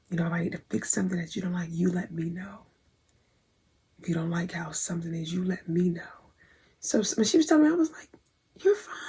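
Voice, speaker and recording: Talking at a very fast pace, a woman with a fairly low pitch and a dark, mellow, somewhat breathy tone shows big swings in loudness and takes long, frequent pauses. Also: ordinary pitch variation. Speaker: vlogger, aspiring model. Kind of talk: casual vlog storytelling.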